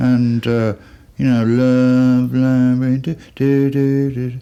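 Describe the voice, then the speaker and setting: Over noticeable background noise, a man with a Birmingham accent speaks at a medium pitch with ordinary pitch variation. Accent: Birmingham (Brummie) English. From Birmingham, England. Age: 60s. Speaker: musician. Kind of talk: interview. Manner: casual, rambling storytelling.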